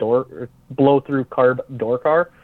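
A man with an American accent and a plain, everyday voice speaks at a moderate pace with fairly even intonation. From northern Minnesota. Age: 30s. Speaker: drag racer. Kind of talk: casual chat.

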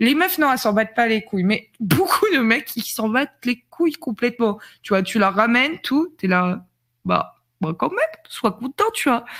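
Captured in a very clean recording over a silent background, a woman speaks at a moderate pace with a fairly high pitch and very wide pitch swings. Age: 30s. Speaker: streamer. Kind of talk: casual chat.

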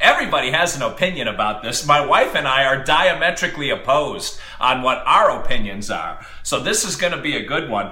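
A man talks at a fairly quick pace with hardly any pauses, over noticeable background noise. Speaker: podcast co-host and hockey play-by-play announcer. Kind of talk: casual banter podcast. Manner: animated, joking.

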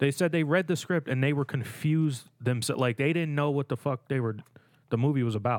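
Heard dry and close with no echo, a man with an unremarkable speaking voice talks at a fairly quick pace, his pitch fairly high with ordinary variation. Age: 20s. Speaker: podcast co-host. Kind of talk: casual chat.

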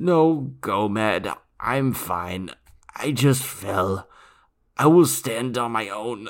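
In a very clean recording with a silent background, a man puts on a strained character voice at a medium pitch, speaking at a very slow pace with long, frequent pauses.

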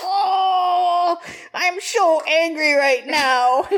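Someone uses a put-on character voice at an extremely high pitch. Light background noise sits behind it. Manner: mock-cute, petulant anger.

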